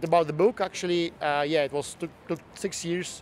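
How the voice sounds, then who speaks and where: A man speaks with a Russian accent and fairly even intonation. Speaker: tea expert and author. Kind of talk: interview. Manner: halting, with many fillers.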